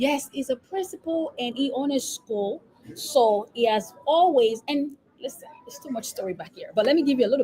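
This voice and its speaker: A woman with a Nigerian accent talks at a fairly quick pace in a high pitch with lively intonation over noticeable background noise. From Nigeria, Lagos. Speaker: epidemiologist and business coach. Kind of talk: interview. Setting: live stream.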